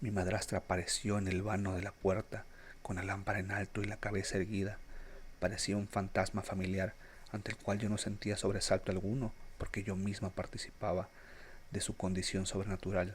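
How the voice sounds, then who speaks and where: Soft-spoken and somewhat breathy, a man talks at a very fast pace with monotone, flat intonation. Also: fairly low pitch for a man. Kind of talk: Spanish-language literary narration. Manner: soft-spoken, relaxing.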